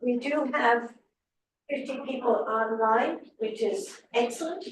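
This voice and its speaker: In a room with audible echo, a woman with an American accent speaks very slowly at a high pitch, with ordinary pitch variation. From United States. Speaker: higher education policy expert. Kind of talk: conference talk. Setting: conference room with online audience.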